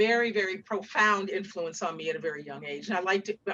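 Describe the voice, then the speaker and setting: This woman has a plain, everyday voice with an American accent and a medium pitch. She speaks at a fairly quick pace with ordinary pitch variation. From Seattle, US Pacific Northwest. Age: 60s. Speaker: author. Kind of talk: interview with storytelling.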